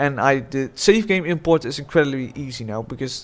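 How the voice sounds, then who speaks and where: Fairly high pitch from a man, with usual variation in his pitch. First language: not English. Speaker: gaming YouTuber. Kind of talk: unscripted video game review monologue. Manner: rambling, halting with many false starts.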